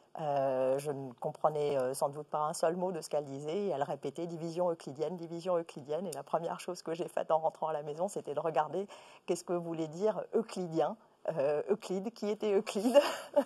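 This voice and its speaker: Her pitch is fairly low for a woman, with a dark, mellow tone. She speaks at a fairly quick pace. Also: ordinary pitch variation. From Iran until age 8, then France. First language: Persian (speaking French). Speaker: company executive. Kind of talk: interview. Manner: hesitant, many fillers.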